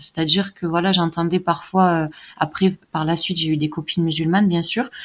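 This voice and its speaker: A plain, everyday voice with fairly even intonation on a very clean recording with a silent background. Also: woman. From southern France, countryside. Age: 20s. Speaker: Quran learner, convert. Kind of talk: testimony.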